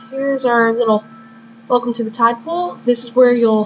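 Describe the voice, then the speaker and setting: A woman's high-pitched voice at a moderate pace, with music in the background. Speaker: gamer. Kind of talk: video game walkthrough commentary. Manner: may stutter or sound unusual; casual, relaxed.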